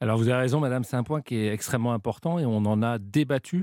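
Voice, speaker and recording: Recorded very cleanly against a silent background, a man with an unremarkable speaking voice talks at a moderate pace in a medium pitch with ordinary pitch variation. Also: dry, close sound with no echo. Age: 40s. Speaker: retail group executive. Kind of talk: radio interview.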